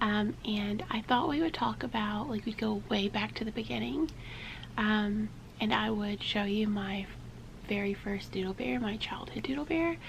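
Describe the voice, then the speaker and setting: Against noticeable background noise, a woman at medium pitch and moderate pace swings her pitch very widely. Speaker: vintage toy collector. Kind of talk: casual talk to camera.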